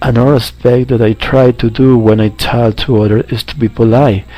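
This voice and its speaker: A man of medium pitch at a moderate pace, with fairly even intonation and noticeable background noise. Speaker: English language student. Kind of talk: spoken assignment answers. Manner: halting with fillers.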